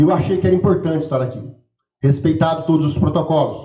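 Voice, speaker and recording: A man with a São Paulo interior accent, with audible room echo. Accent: caipira accent from interior São Paulo. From rural interior of São Paulo state, Brazil. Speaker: campus director running for re-election. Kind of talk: election debate. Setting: auditorium with audience, livestreamed.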